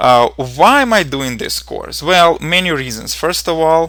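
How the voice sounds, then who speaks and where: In a Ukrainian accent, a man talks at a moderate pace. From Ukraine. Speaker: programming instructor. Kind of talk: tutorial. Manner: hesitant, with fillers.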